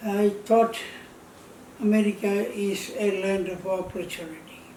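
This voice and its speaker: A man's high-pitched voice at a very slow pace, fairly even in intonation, with audible room echo. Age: 80s+. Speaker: retired telephone company employee. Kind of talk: personal testimony. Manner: halting.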